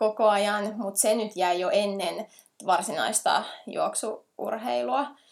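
A woman's fairly high voice with vocal fry and lively intonation, very slow pace, very clean recording against a silent background. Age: 30s. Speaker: ultra trail runner and animal care teacher. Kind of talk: casual interview.

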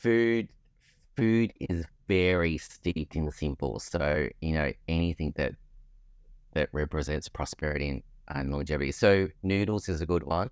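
A man speaks with a very deep, low pitch and ordinary pitch variation at a moderate pace. The recording is very clean, with a silent background. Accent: Australian. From Australia, Melbourne. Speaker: artist and textile designer. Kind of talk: interview, casual chat.

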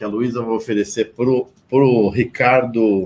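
Recorded very cleanly against a silent background, a man speaks at medium pitch and a very slow pace. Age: 30s. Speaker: radio host. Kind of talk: radio talk show. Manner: animated.

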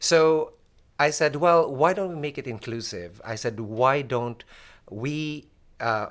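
An ordinary speaking voice from a man, at a fairly slow pace with lively intonation, in a very clean recording with a silent background. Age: 50s. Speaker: physician. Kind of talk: interview.

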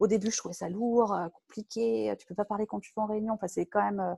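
With a normal speaking voice, a woman at medium pitch talks at a fairly quick pace in a dry, close sound with no echo. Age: 40s. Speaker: software tech lead. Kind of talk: casual interview.

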